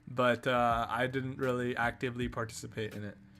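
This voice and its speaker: A man's medium-pitched voice over background music. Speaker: streamer. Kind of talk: casual chat. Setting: live stream. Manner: halting.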